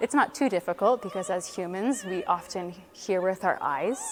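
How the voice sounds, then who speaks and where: With a Canadian accent, a woman uses an ordinary speaking voice at a medium pitch with ordinary pitch variation. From Canada, Ottawa. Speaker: opera singer. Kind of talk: interview.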